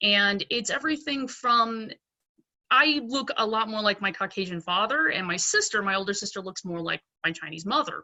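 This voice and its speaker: With a normal speaking voice, a woman talks at a moderate pace, her pitch fairly high and her intonation lively. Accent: American. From Pennsylvania, US. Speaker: dentist. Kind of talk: panel discussion. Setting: video call.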